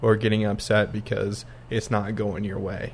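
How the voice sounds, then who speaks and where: In a plain, everyday voice, a man speaks with fairly even intonation at a fairly low pitch. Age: 20s. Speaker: podcast co-host, architectural designer. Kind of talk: casual chat.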